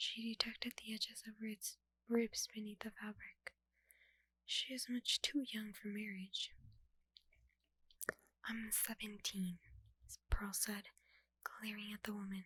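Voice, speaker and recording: A soft-spoken woman with a fairly high pitch and a bright, sharp tone talks at a fairly slow pace, with long, frequent pauses. Her intonation is flat and monotone, and the sound is dry and close with no echo. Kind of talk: audiobook-style dramatic reading of a novel. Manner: soft-spoken, ASMR style.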